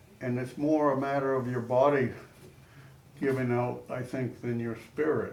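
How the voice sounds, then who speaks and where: A man at a moderate pace, monotone and flat, with audible room echo and noticeable background noise. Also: medium pitch for a man. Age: 80s+. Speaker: older adult panel participant. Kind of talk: group discussion. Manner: halting.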